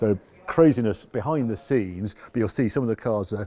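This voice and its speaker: Fairly quick speech from a man at medium pitch, with ordinary pitch variation and noticeable background noise. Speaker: car presenter. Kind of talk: walk-around car auction preview to camera. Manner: casual, enthusiastic.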